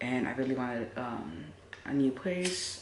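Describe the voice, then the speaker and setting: Audible room echo sits alongside noticeable background noise throughout the clip. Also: woman. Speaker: lifestyle vlogger and spiritual reader. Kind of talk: casual storytime.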